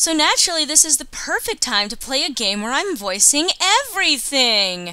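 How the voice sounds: At a moderate pace, a woman speaks in a high, bright, sharp voice with big pitch swings.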